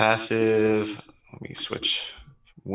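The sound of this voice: A reading voice, unforced.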